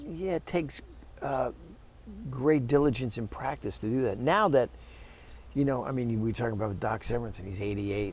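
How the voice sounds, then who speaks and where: Somewhat breathy, a man talks at a very fast pace. His pitch variation is ordinary. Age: 60s. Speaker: orchestral trumpet player and teacher. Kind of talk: casual interview.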